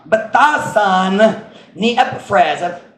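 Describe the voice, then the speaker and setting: Audible room echo surrounds a man's voice. His pitch is high, with ordinary variation. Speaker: pastor. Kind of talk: sermon.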